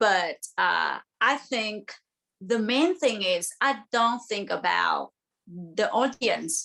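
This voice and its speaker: A woman's bright, sharp, fairly high voice in a Vietnamese accent, at a very slow pace. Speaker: singer-songwriter, exiled artist. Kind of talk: panel discussion. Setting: video call.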